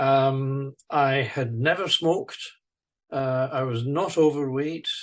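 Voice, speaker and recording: Here a man speaks at a very slow pace. His pitch is fairly high. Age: 70s. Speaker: retired naval architect and stroke survivor. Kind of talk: interview. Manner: halting, many fillers and repetitions.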